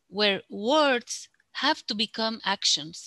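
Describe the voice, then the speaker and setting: A woman speaks at a very slow pace in a bright, sharp tone, her fairly high pitch showing ordinary variation. The sound is dry and close with no echo, over a quiet background. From Bolivia. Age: 40s. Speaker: UN information officer. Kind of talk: casual chat.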